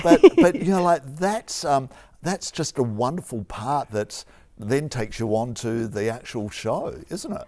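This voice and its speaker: In an Australian accent, a man speaks at a fairly slow pace, his fairly high pitch moving in very wide swings. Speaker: TV arts interviewer. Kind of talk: interview questions.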